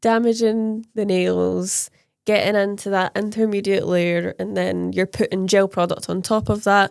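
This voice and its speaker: In a Scottish accent, a woman talks at a fairly slow pace on a very clean recording with a silent background. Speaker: nail technician and podcast co-host. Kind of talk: casual chat.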